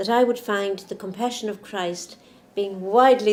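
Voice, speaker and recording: With noticeable background noise, a woman speaks at a fairly slow pace in an Irish accent. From Ireland. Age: 70s. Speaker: nun and nurse. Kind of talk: interview testimony.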